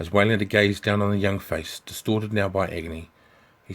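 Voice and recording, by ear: Text is being read aloud in a natural voice.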